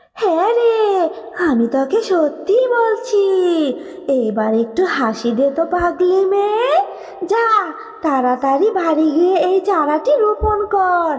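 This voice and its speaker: A woman uses a cartoonish character voice pitched extremely high. She speaks at a very slow pace. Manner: sing-song, uses familiar address.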